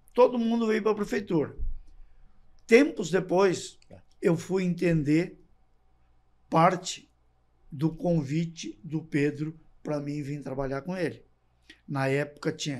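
Speaking at a fairly slow pace with long, frequent pauses, a man uses a high pitch and lively intonation against a quiet background. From Gramado, Rio Grande do Sul, Brazil; Rio Grande do Sul, Brazil. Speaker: former municipal official; podcast guest. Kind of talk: casual chat. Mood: calm, reminiscing. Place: studio. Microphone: studio mic.

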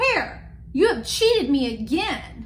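A woman uses a put-on character voice, high-pitched and fairly bright in tone. She goes slowly with big pitch swings over faint background noise.

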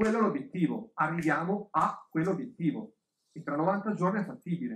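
Through audible room echo, a man speaks at a moderate pace with a high pitch that swings very widely. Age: 40s. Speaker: business coach; speaker. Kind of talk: lecture. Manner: halting. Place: hall.

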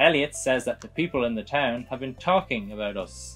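With faint music in the background, a man with a medium-pitched voice speaks with lively intonation. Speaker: video game let's play host. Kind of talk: slow, clear explanation for English learners. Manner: slow, clear. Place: home room.

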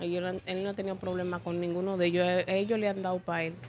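Light background noise sits behind the recording. The woman speaks at a moderate pace. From Dominican Republic. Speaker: wife of detained man. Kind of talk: interview testimony. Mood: worried, complaining. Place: street. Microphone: handheld.

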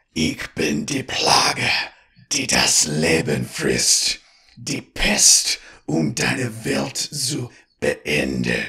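Using a put-on character voice, a man hisses in a raspy, very deep, low pitch at a very slow pace with a menacing tone. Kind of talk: horror creature speech. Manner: hissing, menacing.

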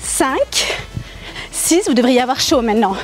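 A woman's voice, dry with no echo, over faint music in the background. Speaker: fitness instructor. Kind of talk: workout instruction with counting. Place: garden.

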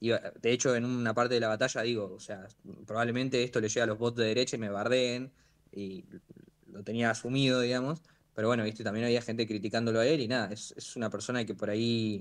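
Against a quiet background, a man speaks very fast. His intonation is monotone and flat. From Santa Rosa, La Pampa, Argentina; La Pampa, Argentina. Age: young. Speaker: freestyle rapper; guest. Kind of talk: interview. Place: home room. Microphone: video call.

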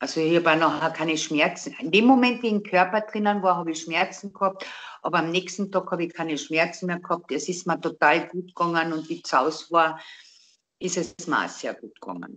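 The voice has a Carinthian accent and a fairly quick pace. Pitch variation is ordinary, loudness swings widely, and the background is quiet. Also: woman, fairly low pitch for a woman. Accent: Carinthian Austrian dialect. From Austria. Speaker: interviewee telling a personal story. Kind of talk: interview answer. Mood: calm, reflective. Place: home room. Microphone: video call.

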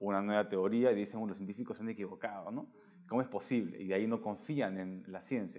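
An ordinary speaking voice with ordinary pitch variation comes through over a quiet background. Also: man. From Peru. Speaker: science podcast host. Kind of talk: interview. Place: home room. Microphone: lapel.

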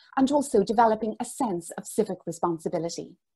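Against a quiet background, a woman with an Irish accent speaks at a fairly quick pace, her voice fairly high in pitch, somewhat breathy and dark and mellow in tone, with lively intonation. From Ireland. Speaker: business school director. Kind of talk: formal presentation. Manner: formal. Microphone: earbuds.

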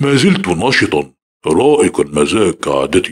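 The speaker uses a put-on character voice at a very slow pace. The sound is dry and close, with no echo. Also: man. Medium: read story. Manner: calm, measured.

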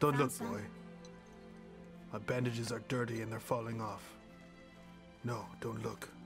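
Doing a gruff, put-on character voice at medium pitch, a man speaks at a fairly slow pace with long, frequent pauses as clear music plays in the background. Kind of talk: comic overacting. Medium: game stream. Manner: mock-gruff, caveman-like broken speech.

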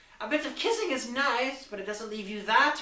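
The speaker uses an unforced reading voice. The delivery stays that way throughout.

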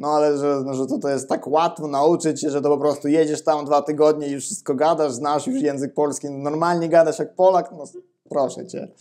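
The voice has a dark, mellow tone and fairly even intonation, moving at a fairly quick pace over a quiet background. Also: man, fairly high pitch for a man. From Ukraine. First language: Ukrainian (speaking Polish). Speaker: Polish language teacher. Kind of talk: interview. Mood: relaxed, casual. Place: home room. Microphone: lapel.

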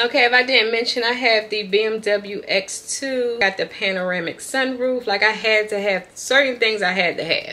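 Hardly pausing, a woman with a fairly high pitch speaks at a moderate pace in an animated tone. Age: 40s. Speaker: lifestyle vlogger; vlogger. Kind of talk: casual vlog chat. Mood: upbeat, grateful. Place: home room. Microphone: phone near.

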